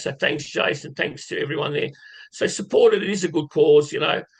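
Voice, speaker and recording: A man talks with an Australian accent. His pace is fairly quick. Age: 60s. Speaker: horse racing tipster. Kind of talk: casual live stream chat. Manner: casual, conversational.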